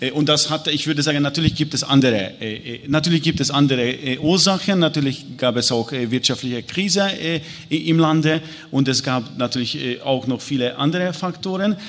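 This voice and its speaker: A man speaks with a Hungarian accent at a fairly quick pace, his pitch fairly high. His pitch varies in an ordinary way, and noticeable background noise runs underneath. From Hungary. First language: Hungarian (speaking German). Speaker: historian. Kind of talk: panel discussion. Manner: halting.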